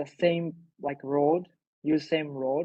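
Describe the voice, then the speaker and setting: Very slow in pace, a man speaks with a fairly high pitch and fairly even intonation. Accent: Japanese. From Japan. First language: Japanese. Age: 20s. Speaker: invited speaker. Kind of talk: talk to online audience. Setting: video call. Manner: halting.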